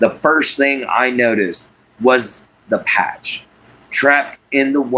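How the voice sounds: The speaker uses a natural reading voice. Intonation is fairly even.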